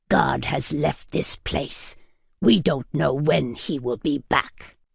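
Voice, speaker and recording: Gruff, growling and booming, a put-on character voice moves at a very slow pace in a low-to-middle pitch. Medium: read story. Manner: gruff, blunt, intimidating.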